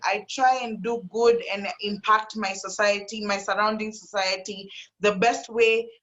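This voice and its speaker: A woman speaks at medium pitch. Her pace is fairly slow. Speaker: panelist in live discussion. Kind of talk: panel discussion. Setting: live video stream. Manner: loud; animated.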